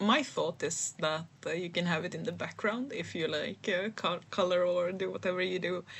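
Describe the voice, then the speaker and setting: With a non-native accent, a woman with a fairly low pitch speaks at a moderate pace with ordinary pitch variation and hardly any pauses. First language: not English. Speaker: vlogger and aspiring writer. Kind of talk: casual voiceover vlog. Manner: hesitant, many fillers and restarts.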